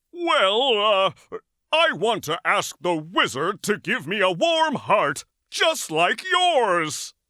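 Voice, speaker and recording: A cartoonish character voice at a fairly high pitch swings very widely in pitch while speaking at a very slow pace. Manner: polite, gentle.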